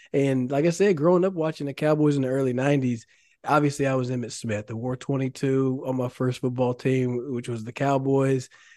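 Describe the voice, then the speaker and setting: A man with a Texan accent, medium in pitch with a dark, mellow tone, fairly quick and fairly even in intonation, over a quiet background. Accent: Texan American. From Texas, Dallas area (Carrollton). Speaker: former pro football player, now realtor. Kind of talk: interview. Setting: studio.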